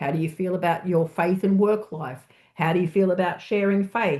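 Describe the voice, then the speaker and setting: A woman with an Australian accent, fairly low pitch, fairly even intonation and a moderate pace, against a quiet background. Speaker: church researcher. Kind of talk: presentation.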